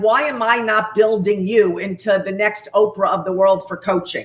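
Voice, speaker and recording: A woman with a New York accent talks at a fairly slow pace with a fairly high pitch. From New York, Long Island. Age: 60s. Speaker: executive coach, company co-founder. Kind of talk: interview. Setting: live video stream. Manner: animated.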